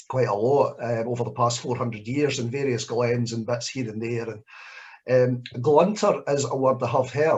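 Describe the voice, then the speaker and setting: This somewhat breathy voice carries a Scottish accent. It moves at a moderate pace with ordinary pitch variation. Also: man. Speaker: poet. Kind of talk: Q&A at live spoken word event.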